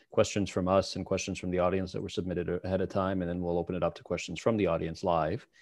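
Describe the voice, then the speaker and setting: A very fast pace against a quiet background. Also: man. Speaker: webinar moderator and researcher. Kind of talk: webinar moderation. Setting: video call. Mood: warm, appreciative. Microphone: video call.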